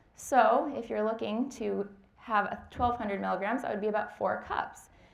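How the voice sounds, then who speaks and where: At a moderate pace, a woman speaks at a fairly high pitch with vocal fry and fairly even intonation. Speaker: dietetic intern. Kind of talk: lecture.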